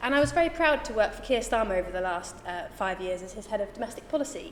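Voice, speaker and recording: A woman with a southern English accent, noticeable background noise behind her. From southern England, Reading. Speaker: parliamentary candidate. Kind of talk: hustings speech.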